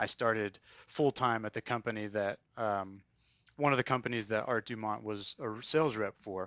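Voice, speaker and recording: The speaker has a North Carolina accent. Pitch varies in an ordinary way. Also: man. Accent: US Southern (North Carolina). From North Carolina, Triad area. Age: 30s. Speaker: military academy alumnus. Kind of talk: interview. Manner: halting.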